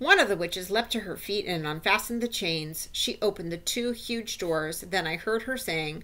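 The reading here comes in an unforced reading voice.

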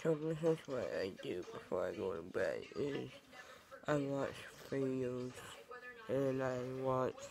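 Noticeable background noise runs under the speech. The pace is very slow. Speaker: vlogger. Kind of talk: casual vlog chat. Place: home room. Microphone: earbuds.

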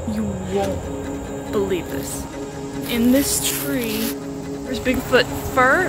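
A woman talks at a very slow pace while clear music is heard in the background. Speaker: hiker vlogger. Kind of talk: casual vlog chat. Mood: playful, mock-nervous. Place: forest. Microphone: phone near.

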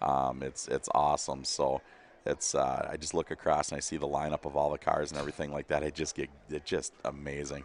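Speaking at a fairly quick pace with monotone, flat intonation, a man uses a very deep, low pitch with vocal fry, the sound dry with no echo and light background noise. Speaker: livestream commentator. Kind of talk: live commentary. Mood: relaxed, joking. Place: stadium. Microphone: headset.

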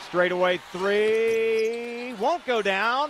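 An upbeat man's voice against noticeable background noise. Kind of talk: live radio sports commentary. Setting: radio broadcast from the arena. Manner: fast, fluent play-by-play, upbeat and steady.

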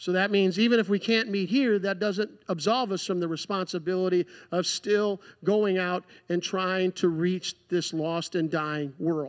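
In a quiet background, a man speaks at a fairly slow pace with a high pitch and ordinary pitch variation. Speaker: preacher. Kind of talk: sermon. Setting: church. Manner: earnest, pleading, fervent. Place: church.

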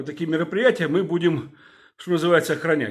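A man keeps up a fairly quick pace while the background stays quiet. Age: 50s. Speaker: video blogger, former security officer. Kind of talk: video address to viewers. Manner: hesitant, filler-heavy. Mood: indignant, urging. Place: home room. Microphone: phone near.

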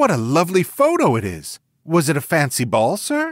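Delivered at a moderate pace and middle pitch, this put-on character voice comes on a very clean recording with a silent background. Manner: surprised, excitable.

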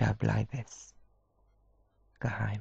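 Speaking very slowly, a man has a non-native accent. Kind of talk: poetry reading.

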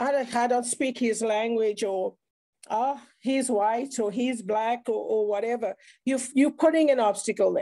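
A woman speaks with a South African accent at a moderate pace against a quiet background. Her high-pitched voice is dark and mellow, with fairly even intonation. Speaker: speaker sharing mental health experience; speaker. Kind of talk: online round table talk. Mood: earnest, reflective. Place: home room. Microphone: video call.

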